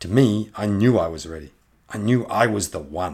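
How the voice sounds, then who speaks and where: A man's very deep, low voice, somewhat breathy and theatrical in a dramatic way, on a very clean recording with a silent background. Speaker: podcast host and author reading his own fantasy novel. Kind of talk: dramatic narration of fantasy fiction, reading aloud with character voices.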